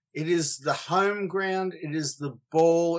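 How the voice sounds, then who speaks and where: Over a quiet background, a man with an Australian accent speaks fairly slowly in a high pitch, with ordinary pitch variation. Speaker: surf podcast co-host. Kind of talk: casual chat. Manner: animated.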